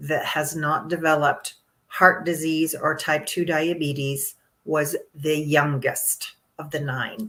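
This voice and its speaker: Very slow, monotone delivery with flat intonation and a bright, sharp tone. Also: woman. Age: 60s. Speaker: longevity coach. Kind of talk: interview. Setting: live podcast.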